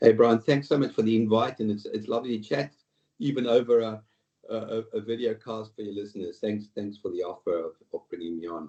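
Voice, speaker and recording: Speaking at a fairly quick pace, a man with a medium pitch and a dark, mellow tone shows big swings in loudness. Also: ordinary pitch variation. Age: 60s. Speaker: retail executive and board director. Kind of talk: interview podcast. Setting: video call. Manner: halting.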